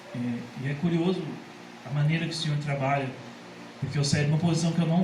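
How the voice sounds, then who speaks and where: Loud speech with fairly even intonation and audible room echo. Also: man. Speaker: church member giving testimony. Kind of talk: testimony. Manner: cannot speak loud for long.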